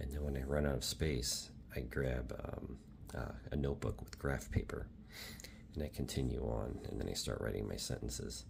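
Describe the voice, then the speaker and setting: A man's very deep, low voice, soft-spoken and calm, relaxed in tone, at a fairly quick pace with monotone, flat intonation. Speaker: Japanese language learner making ASMR study videos. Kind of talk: ASMR soft-spoken talk to camera about studying Japanese. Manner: soft-spoken, calm, relaxed.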